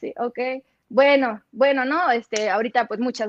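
A woman with a high-pitched voice speaks with ordinary pitch variation in a dry, close sound with no echo. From Sinaloa, Mexico (Los Mochis). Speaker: sports broadcaster. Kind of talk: casual interview.

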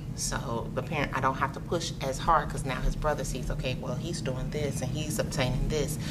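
Over noticeable background noise, a woman with an American accent talks at a fairly quick pace with hardly any pauses. Her pitch is very deep and low, and her intonation is monotone and flat. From Chicago, US Midwest. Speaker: cigar lounge co-owner. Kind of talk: interview. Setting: cigar lounge.

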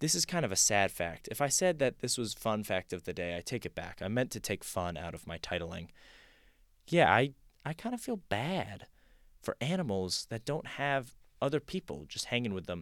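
A man with an American accent speaks at a medium pitch and a moderate pace, his pitch swinging very widely. The recording is very clean, with a silent background. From California. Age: 20s. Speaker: podcast host, college student. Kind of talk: casual solo monologue. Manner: animated.

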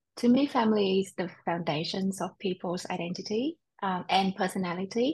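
Somewhat breathy, a woman with an American accent speaks at medium pitch. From Vietnam and Australia, lives in US. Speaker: podcast host. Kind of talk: scripted intro and interview chat.

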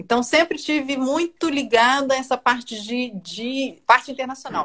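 A woman speaking at a fairly slow pace. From Brazil (Brasília). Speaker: journalist. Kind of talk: casual chat. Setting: video call.

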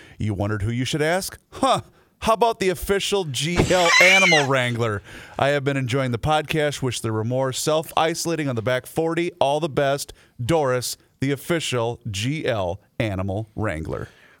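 At a moderate pace, a man with a plain, everyday voice speaks fairly high with lively intonation. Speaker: podcast co-host. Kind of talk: casual talk show.

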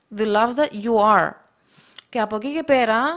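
In a very clean recording with a silent background, the speaker's intonation stays lively. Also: woman. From Russia, moved to Cyprus at 12. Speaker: multi-sport enthusiast and photographer. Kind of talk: casual chat.

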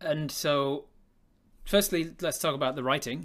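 A man with an English accent, bright and sharp in tone, at a moderate pace. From England. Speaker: podcast host and games master. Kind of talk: casual interview chat. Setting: live stream video call.

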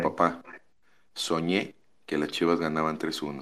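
A man talks in a very deep, low pitch. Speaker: caller.

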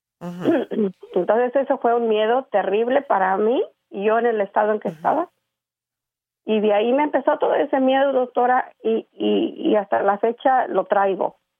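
A woman with a fairly high voice speaks at a moderate pace, keeping her loudness very even. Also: lively intonation. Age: 60s. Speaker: caller seeking advice on depression. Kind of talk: phone-in call to advice show. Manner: halting, many fillers.

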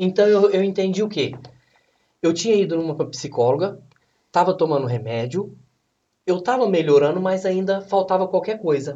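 A man speaks with a high pitch and ordinary pitch variation. He leaves long, frequent pauses. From Brazil, São Paulo state near Minas Gerais. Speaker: bodybuilding athlete. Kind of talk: casual chat.

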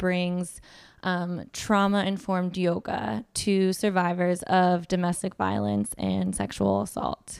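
On a very clean recording with a silent background, a woman with an unremarkable speaking voice talks at a medium pitch with ordinary pitch variation and hardly any pauses. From US West Coast, Southern California (Orange County). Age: 30s. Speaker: lawyer and nonprofit board chair. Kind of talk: interview, personal testimony.

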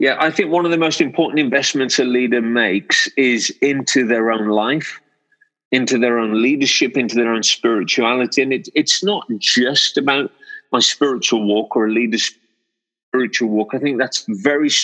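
Bright and sharp in tone, a man speaks at a moderate pace. His loudness stays very even, with ordinary pitch variation. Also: medium pitch for a man. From England, Wolverhampton (West Midlands). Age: 40s. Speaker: senior pastor. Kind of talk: interview conversation. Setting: video call. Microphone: line quality fine.

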